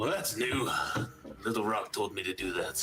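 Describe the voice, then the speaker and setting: A man does a put-on character voice at a moderate pace. Clear background noise runs underneath. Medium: actual play.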